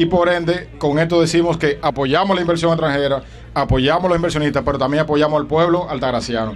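Light background noise sits under a man whose intonation is fairly even. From Dominican Republic. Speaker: politician. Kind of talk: protest speech. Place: beach. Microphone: handheld.

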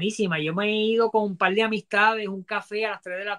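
A raised, projected voice with a bright, sharp tone moves at a fairly quick pace. The background is quiet. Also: man. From Ponce, Puerto Rico; Puerto Rico. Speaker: toy collector and salesman; interview guest. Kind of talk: live-stream interview. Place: home room. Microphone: earbuds.

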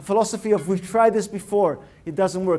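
This man's tone is animated, and he moves at a fairly quick pace. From Russia (Leningrad), emigrated. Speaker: innovation consultant and speaker. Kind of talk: TEDx-style talk. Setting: stage with live audience. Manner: animated, interactive. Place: hall. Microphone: lapel.

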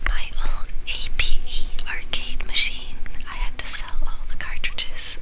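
Someone whispers at a very slow pace. Music plays in the background. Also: woman. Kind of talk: whispered video game let's play. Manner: whispered.

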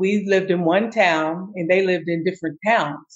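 Using a normal speaking voice, a woman with an American accent talks at a medium pitch and a fairly slow pace. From US South. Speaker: diversity trainer. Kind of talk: interview.

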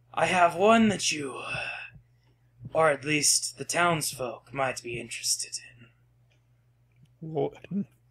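Putting on a character voice, a man talks at a fairly slow pace and a fairly high pitch, leaving long, frequent pauses. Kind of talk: ominous polite menace. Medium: actual play. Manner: calm, polite, quietly creepy.

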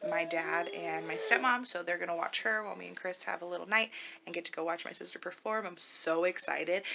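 Over noticeable background noise, a woman talks very fast at a fairly low pitch. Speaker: family vlogger. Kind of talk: casual vlog chat. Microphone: phone near.

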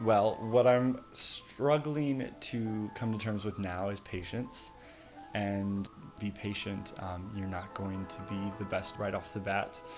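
Over clear background music, a man talks at a very slow pace, his fairly low pitch moving with ordinary variation. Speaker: interviewee. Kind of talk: interview answer.

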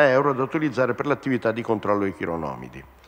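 Ordinary pitch variation marks a man's voice at medium pitch. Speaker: regional minister answering. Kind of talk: parliamentary question time, formal official reply. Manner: formal, measured. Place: hall. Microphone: podium.

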